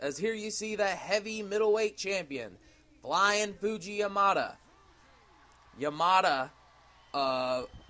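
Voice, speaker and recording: The man's voice is raised and projected, with a high pitch. His intonation is lively. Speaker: wrestling commentator. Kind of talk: sports play-by-play commentary.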